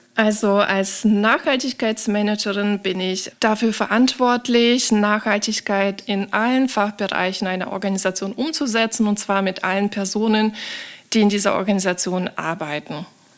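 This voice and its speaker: With an unremarkable speaking voice, a woman talks at medium pitch and a moderate pace, her intonation fairly even. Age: 30s. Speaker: sustainability manager. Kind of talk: interview.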